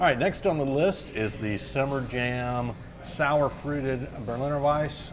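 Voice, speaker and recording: A man talks at a fairly slow pace. Noticeable background noise runs beneath his voice. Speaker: beer review host. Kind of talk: casual review chat. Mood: relaxed, cheerful. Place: bar. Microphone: lapel.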